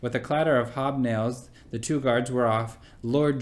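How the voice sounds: What you hear is a natural reading voice.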